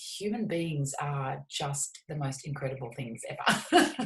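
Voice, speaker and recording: Her pitch swings very widely as the woman, somewhat breathy, talks with an Australian accent. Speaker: shamanic psychotherapist and healer. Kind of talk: interview. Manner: animated.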